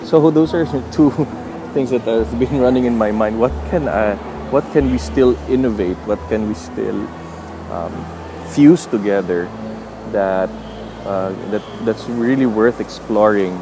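Music plays in the background as a speaker with a Filipino accent talks at a fairly slow pace, using lively intonation and long, frequent pauses. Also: man, fairly low pitch for a man. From Philippines. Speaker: podcast host. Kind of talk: motivational monologue. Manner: halting.

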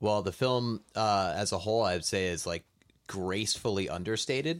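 With an unremarkable speaking voice, a man of fairly low pitch talks at a moderate pace with ordinary pitch variation in a very clean recording with a silent background. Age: 30s. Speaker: movie podcast co-host. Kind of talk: casual chat.

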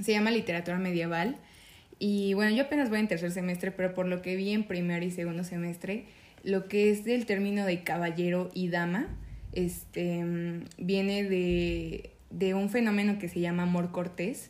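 A woman speaks at a moderate pace in a medium pitch with fairly even intonation. She has a normal speaking voice. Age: young. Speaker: university student. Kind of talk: casual chat. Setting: at the host's home.

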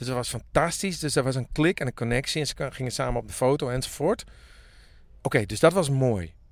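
A man talks at a very fast pace and medium pitch. His pitch varies in an ordinary way, and the recording is very clean with a silent background. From Friesland (Makkum). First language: Frisian (speaking Dutch). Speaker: musician. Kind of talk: casual chat. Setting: in a parked tour bus by a pond in a forest.

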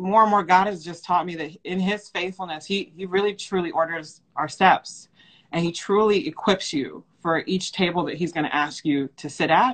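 Pitch variation here is ordinary. The delivery is at a moderate pace. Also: woman. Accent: American. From US Midwest (Cleveland, Ohio). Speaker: church leader. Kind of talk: interview. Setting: video call. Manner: halting.

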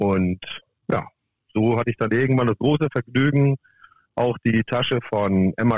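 A man's normal speaking voice, medium in pitch with ordinary variation, at a moderate pace, with a dry, close sound and no echo. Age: 50s. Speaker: professional golf caddie. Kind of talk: interview.

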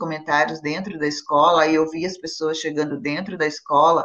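Over noticeable background noise, a woman speaks at a moderate pace in a fairly low voice. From Brazil. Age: 50s. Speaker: actress. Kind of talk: casual chat.

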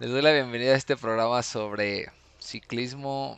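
In a Mexican accent, a man speaks at a medium pitch with fairly even intonation. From Mexico, Morelia (Michoacán). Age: 20s. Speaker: podcast host, amateur cyclist. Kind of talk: casual solo podcast monologue.

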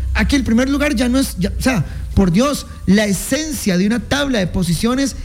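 A man with a Costa Rican accent speaks in an animated tone with lively intonation at a moderate pace. Noticeable background noise is present. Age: 30s. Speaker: sports radio host. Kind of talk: casual radio talk show.

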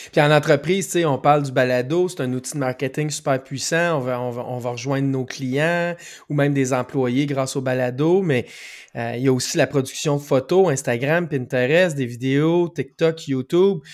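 On a very clean recording with a silent background, a man with a Quebec accent speaks at a moderate pace and fairly high pitch with fairly even intonation. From Quebec, Rimouski. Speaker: podcast co-host. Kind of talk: casual interview.

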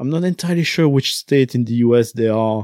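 A man speaks with a French accent and a dark, mellow tone. The sound is dry and close with no echo, on a very clean recording with a silent background. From French-speaking country. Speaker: podcaster and game designer. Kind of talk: casual interview. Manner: hesitant, many fillers.

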